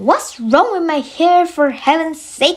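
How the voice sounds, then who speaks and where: Putting on a squeaky character voice, a woman speaks at a fairly slow pace with an extremely high pitch. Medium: read story. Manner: loud, blustering.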